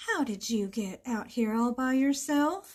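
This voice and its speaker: Putting on a character voice, a woman speaks high-pitched in a warm, gentle tone at a fairly slow pace. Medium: read story.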